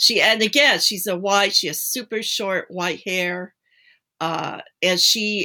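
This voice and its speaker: A woman with a bright, sharp tone speaks at a fairly slow pace in a very clean recording with a silent background. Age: 60s. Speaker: paranormal blogger and tarot reader. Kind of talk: casual chat.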